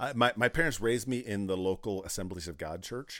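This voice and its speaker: A man with an American accent uses an ordinary speaking voice at a fairly low pitch and a moderate pace, on a very clean recording with a silent background. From US Midwest, south central Wisconsin. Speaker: men's ministry network co-founder. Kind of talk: interview conversation.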